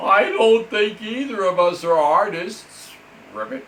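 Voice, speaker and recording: Putting on a character voice, a man talks fairly slowly at a high pitch. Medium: read story.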